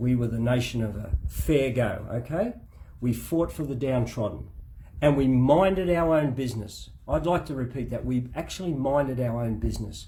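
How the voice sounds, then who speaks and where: In an Australian accent, a man with a dark, mellow, somewhat breathy tone speaks at medium pitch with ordinary pitch variation, and audible room echo surrounds him. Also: moderate pace. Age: 60s. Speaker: spouse giving a case update. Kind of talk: spoken opinion monologue. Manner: emphatic, impassioned.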